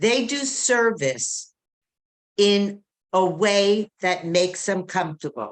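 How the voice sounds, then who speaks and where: With lively intonation and a medium pitch, a woman speaks at a very slow pace. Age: 60s. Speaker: twelve-step meeting speaker. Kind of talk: testimony. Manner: animated.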